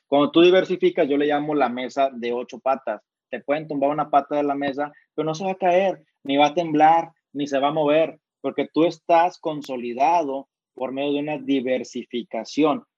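Fairly high for a man, his ordinary speaking voice moves at a moderate pace with fairly even intonation. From Mexico, Monterrey. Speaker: entrepreneur and author. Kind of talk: interview.

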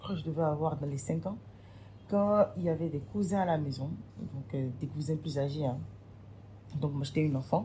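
The voice has a dark, mellow tone and is somewhat breathy. It moves at a fairly slow pace with lively intonation. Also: woman. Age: 20s. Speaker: event planner. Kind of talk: testimony.

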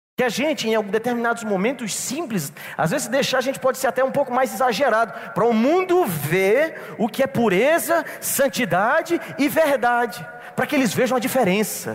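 With noticeable background noise behind him, a man speaks at a moderate pace in an extremely high pitch, his intonation lively, his tone animated and his loudness very even. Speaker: pastor. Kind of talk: sermon.

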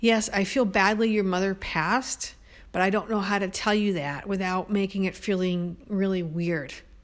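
With an American accent and an unremarkable speaking voice, a woman speaks at a moderate pace in a medium pitch with fairly even intonation, on a very clean recording with a silent background. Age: 50s. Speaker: podcaster. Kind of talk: personal monologue.

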